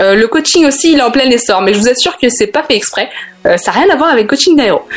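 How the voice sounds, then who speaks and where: The woman's voice is high and swings very widely in pitch. Background noise is noticeable. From Africa and France. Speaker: life coach columnist. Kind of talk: scripted radio segment.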